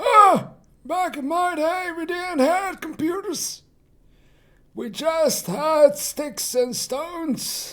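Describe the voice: A put-on character voice, extremely high in pitch and very slow in pace.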